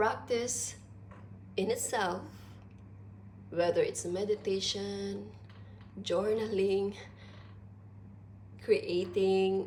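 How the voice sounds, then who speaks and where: The delivery is very slow, with long, frequent pauses. An audible room echo surrounds the voice. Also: woman. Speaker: philosophy vlogger. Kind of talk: informal lecture. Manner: deliberate.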